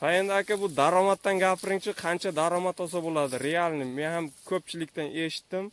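A high-pitched man's voice, fairly quick and fairly even in intonation, with hardly any pauses and a dry sound with no echo. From Uzbekistan, Jizzakh; Uzbekistan. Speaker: YouTuber; vlogger filming a farm visit. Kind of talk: casual vlog interview. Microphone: phone near.

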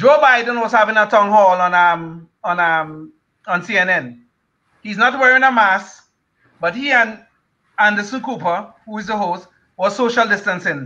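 Against a quiet background, a man speaks in a raised, projected voice at a fairly slow pace. His pitch is high, his tone bright and sharp, with ordinary pitch variation. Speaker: retired engineer, panelist. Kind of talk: panel discussion. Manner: sarcastic, laughs often. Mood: critical, opinionated. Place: home room. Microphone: video call.

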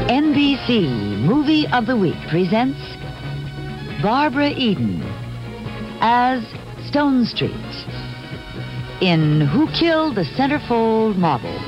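A woman speaks very slowly at a fairly high pitch, her pitch swinging very widely. Clear music plays in the background. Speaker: network staff announcer. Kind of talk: TV network movie introduction announcement. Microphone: old recording.

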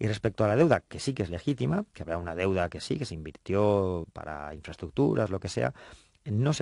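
A man speaks fairly quickly with a very deep, low pitch. The sound is dry with no echo and the background is quiet. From Spain. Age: 40s. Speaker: politician. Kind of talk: radio interview. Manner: halting. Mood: friendly, smiling. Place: studio. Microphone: studio mic.

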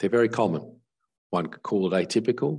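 A man's dark, mellow tone with lively intonation at a moderate pace against a quiet background. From Australia. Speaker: neurologist; neurologist lecturer. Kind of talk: conference lecture. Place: home room. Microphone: webcam.

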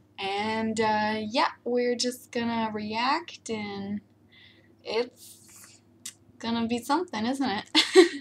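Over light background noise, a woman with a fairly high voice speaks at a very slow pace with ordinary pitch variation. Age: 20s. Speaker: youtuber. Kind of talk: reaction video. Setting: webcam at computer. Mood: amused, playful. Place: home room. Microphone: webcam.

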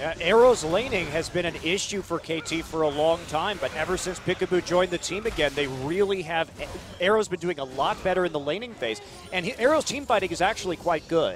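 Over music in the background, a man speaks with a high pitch and ordinary pitch variation. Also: fairly quick pace. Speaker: esports commentator. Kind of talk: live esports colour commentary. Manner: animated, reactive exclamations mid-sentence.

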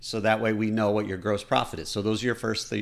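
A man's medium-pitched voice is captured on a very clean recording with a silent background. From Michigan, US Midwest. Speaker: podcast host and business finance advisor. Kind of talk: solo podcast monologue, educational. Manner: casual, energetic.

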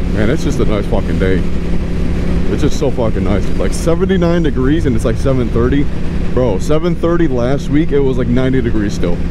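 The speech moves at a fairly quick pace and has a dry sound with no echo. Loud background noise runs underneath. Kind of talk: casual vlog chat. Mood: relaxed, cheerful, swearing casually. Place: motorbike. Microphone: helmet.

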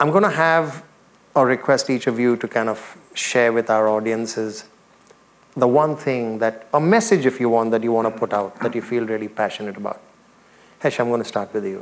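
At a moderate pace, a man speaks with a warm tone and ordinary pitch variation. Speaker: talk show host and former radio presenter; talk show host, radio presenter. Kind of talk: live on-stage interview. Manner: warm and effusive. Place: stage.

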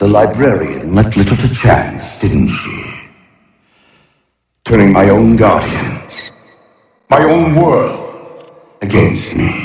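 A man's put-on character voice, fairly low in pitch, with vocal fry, a slightly mellow tone, lively intonation, a slow pace and long, frequent pauses

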